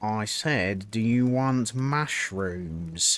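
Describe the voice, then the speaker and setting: A man puts on a character voice pitched in the medium range. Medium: read story. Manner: terse.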